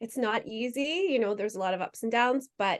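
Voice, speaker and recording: A woman with an American accent speaks in a plain, everyday voice, her fairly high pitch carrying ordinary pitch variation at a moderate pace. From United States. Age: 40s. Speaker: adoptive mother sharing her experience. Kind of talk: interview conversation.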